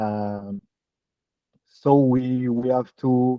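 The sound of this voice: A man's medium-pitched voice with fairly even intonation and a dry, close sound with no echo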